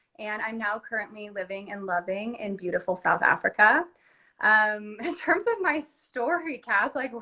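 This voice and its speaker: With a Californian accent, a woman speaks at a moderate pace in a bright, sharp tone, her pitch fairly high and her intonation lively. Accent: Californian American. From California, US. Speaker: entrepreneur. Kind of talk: casual chat. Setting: Instagram live video.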